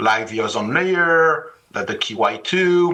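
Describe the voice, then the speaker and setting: A man speaks with a French accent. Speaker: finance executive and author. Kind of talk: panel discussion.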